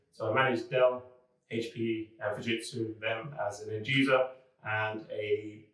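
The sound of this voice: In a room with audible echo, a man talks fairly slowly at a fairly low pitch, with little pitch movement.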